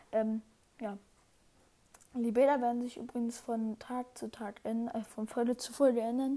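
A woman at a moderate pace, her fairly high voice monotone and flat. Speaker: gaming podcast host. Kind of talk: casual solo chat. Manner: halting, many fillers.

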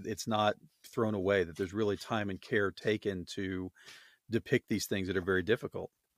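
Delivered in an American accent, an unremarkable speaking voice from a man comes at a fairly low pitch and a fairly quick pace, with fairly even intonation and a dry, close sound with no echo. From Oklahoma. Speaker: podcast host. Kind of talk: casual chat. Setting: video call.

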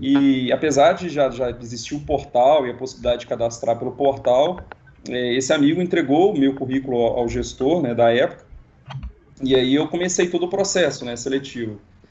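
Against noticeable background noise, a man with a medium pitch speaks at a fairly quick pace with ordinary pitch variation. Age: 30s. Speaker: engineering specialist. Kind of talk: casual interview. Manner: halting.

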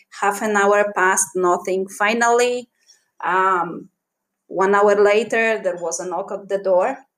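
A woman with a Polish accent and fairly even intonation, on a very clean recording with a silent background. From Poland. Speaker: podcaster. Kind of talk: personal storytelling.

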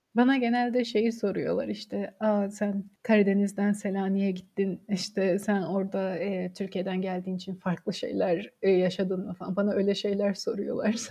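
A woman's somewhat breathy, medium-pitched voice, flat and monotone, at a moderate pace with hardly any pauses. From Samsun, Turkey. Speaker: history graduate researcher. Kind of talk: casual interview.

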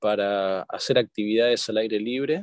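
This man's speech shows ordinary pitch variation. The sound is dry and close with no echo. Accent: Rioplatense. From Argentina. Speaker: corporate lawyer. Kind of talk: interview.

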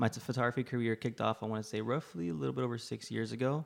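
Very fast, lively speech from a man with a fairly low pitch and an American accent. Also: very clean recording, silent background. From Laredo, Texas. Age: 20s. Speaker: photographer. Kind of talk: casual chat. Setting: studio.

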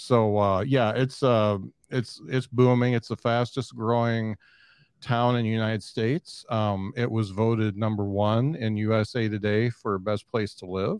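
A man talks in a plain, everyday voice at medium pitch and a fairly slow pace, with fairly even intonation. The sound is dry and close with no echo, over a quiet background. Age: 50s. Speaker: podcaster. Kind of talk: casual chat. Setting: video call.

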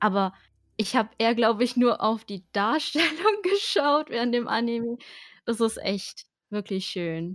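Speaking in a normal speaking voice, a woman with a fairly high pitch uses lively intonation at a fairly slow pace on a very clean recording with a silent background. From Germany, Baden-Württemberg. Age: 20s. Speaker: artist and streamer. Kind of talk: casual interview.

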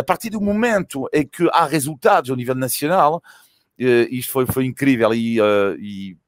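A man with a fairly high pitch sounds animated, with very wide pitch swings, in a dry, close sound with no echo. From France. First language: French (speaking Portuguese). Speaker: cycling commentator. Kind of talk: casual chat. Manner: halting.

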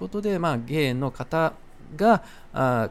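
The recording is very clean and the background silent. In it, a man talks at a fairly slow pace. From Japan, Osaka. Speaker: podcast host. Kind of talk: casual monologue. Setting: outdoors, walking in the street.

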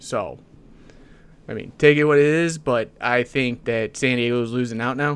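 A man talks in a normal speaking voice at medium pitch, keeping a moderate pace and fairly even intonation. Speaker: podcast co-host. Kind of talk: casual chat.

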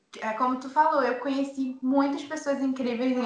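Amid audible room echo and noticeable background noise, a woman keeps to a moderate pace. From Manaus, Amazonas, Brazil. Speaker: singer and singing teacher. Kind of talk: casual chat.

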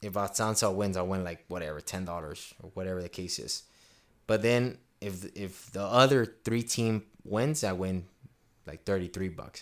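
An unremarkable speaking voice from a man, fairly low in pitch with ordinary pitch variation and big swings in loudness. He speaks at a moderate pace on a very clean recording with a silent background. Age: 20s. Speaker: podcast host. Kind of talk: casual chat.

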